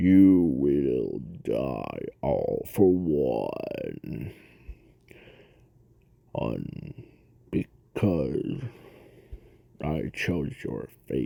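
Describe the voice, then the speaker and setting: A man puts on a character voice with a very deep, low pitch. He talks at a very slow pace, with long, frequent pauses. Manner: menacing.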